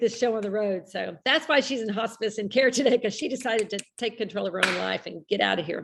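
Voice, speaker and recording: A woman with an American accent speaks at a fairly quick pace, her pitch varying in an ordinary way. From Texas. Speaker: health group host. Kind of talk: live Q&A chat. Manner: talkative, rambling.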